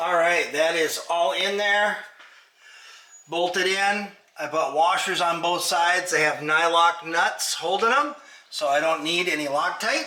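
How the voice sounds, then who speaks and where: The loudness stays very even at a fairly slow pace, with ordinary pitch variation. Noticeable background noise and audible room echo are present. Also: man, high pitch for a man. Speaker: DIY car restoration youtuber. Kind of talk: tutorial. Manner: casual, halting.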